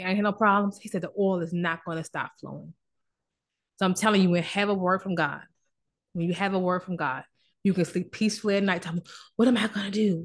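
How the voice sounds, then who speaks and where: Animated and somewhat breathy, a woman at a medium pitch races at a very fast pace yet leaves long, frequent pauses. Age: 40s. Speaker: licensed therapist and podcast host. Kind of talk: casual motivational talk. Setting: office. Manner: halting.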